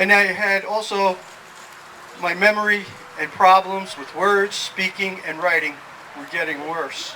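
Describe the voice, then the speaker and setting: A man's raised, projected voice at a high pitch and fairly slow pace, with noticeable background noise. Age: 60s. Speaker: person living with Alzheimer's. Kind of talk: prepared speech. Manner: halting.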